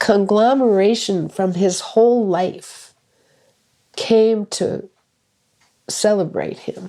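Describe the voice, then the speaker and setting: The voice has a dark, mellow tone and monotone, flat intonation, moving at a very slow pace. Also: woman. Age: 70s. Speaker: retired school director. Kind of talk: casual chat.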